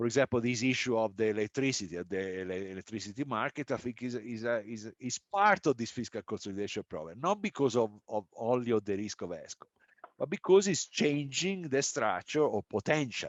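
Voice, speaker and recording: The speaker has an Italian accent and lively intonation. The pace is fairly quick, with hardly any pauses. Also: man, medium pitch for a man. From Italy. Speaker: economist, panel discussant. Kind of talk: panel discussion. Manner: halting, many fillers and restarts.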